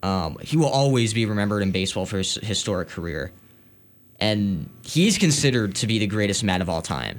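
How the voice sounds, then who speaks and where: Fairly quick and with lively intonation, a man talks at a fairly low pitch. He has an ordinary speaking voice. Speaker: college radio co-host. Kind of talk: scripted-sounding radio intro, then laid-back sports chat. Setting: college radio studio. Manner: calmer, measured, conversational, some hedging fillers.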